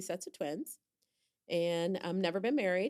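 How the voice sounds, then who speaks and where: Over a silent background in a very clean recording, a woman speaks with an American accent at a moderate pace, her medium pitch showing ordinary variation in an unremarkable speaking voice. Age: 60s. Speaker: podcast guest, host's aunt. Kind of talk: casual chat.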